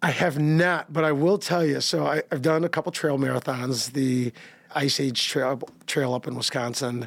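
At a moderate pace, a man with a fairly high pitch and ordinary pitch variation talks in an ordinary speaking voice. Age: 50s. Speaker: marathon runner. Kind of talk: casual interview.

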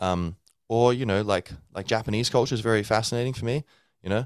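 A man with an Australian accent rattles off his words at a very fast pace. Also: dry, close sound with no echo. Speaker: English teacher and podcast host. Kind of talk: casual solo talk. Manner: halting, many fillers.

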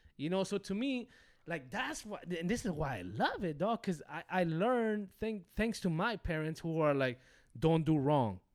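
On a very clean recording with a silent background, a man talks at a moderate pace in a high pitch, with an animated tone and lively intonation. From Los Angeles (Hollywood), moved from rural Mexico as a child. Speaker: podcast guest, rapper. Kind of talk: casual chat.

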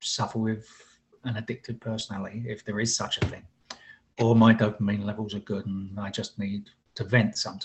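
A man speaks at a medium pitch in a monotone, flat intonation, his voice somewhat breathy. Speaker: husband, co-presenter. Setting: video call.

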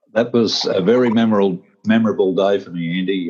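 The voice has a dark, mellow tone and an Australian accent. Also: man. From Australia, rural New South Wales. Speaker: retired police officer and martial arts teacher. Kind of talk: casual interview.

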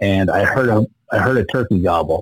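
Recorded dry and close with no echo, a man with an American accent speaks in an unremarkable speaking voice at a fairly low pitch and fairly slow pace. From Idaho, small rural town. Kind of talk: casual interview.

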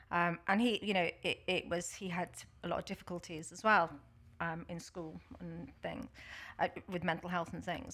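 In a Liverpool accent, a woman speaks at medium pitch and a moderate pace on a very clean recording with a silent background. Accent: Scouse (Liverpool). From Liverpool, England. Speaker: workplace consultant. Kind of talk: casual chat. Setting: studio. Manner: loud.

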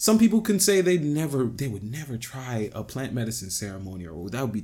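A man speaks at a very fast pace with very wide pitch swings and a somewhat breathy quality. The recording is very clean and the background silent. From Jamaica / Caribbean. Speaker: musician. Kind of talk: casual chat.

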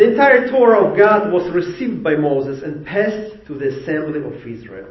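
A high-pitched man talks at a fairly quick pace, with big swings in loudness and very wide pitch swings. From Ukraine. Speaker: rabbi. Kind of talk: sermon. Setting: congregation worship service.

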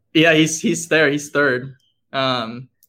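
With a normal speaking voice and an American accent, a man talks at a fairly slow pace with fairly even intonation. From Dallas, Texas. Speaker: competitive cyclist and former college rower. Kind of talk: casual interview.

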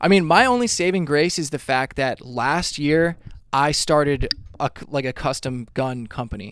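With lively intonation and a moderate pace, the speaker has an ordinary speaking voice. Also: man, fairly high pitch for a man. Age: 30s. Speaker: musician. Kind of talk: casual chat.

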